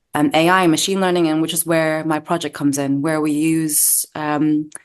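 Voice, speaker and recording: A woman with an American accent talks at a moderate pace. Her pitch is very deep and low, and her intonation is monotone and flat. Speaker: doctor and medical researcher. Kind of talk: interview. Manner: hesitant, with fillers.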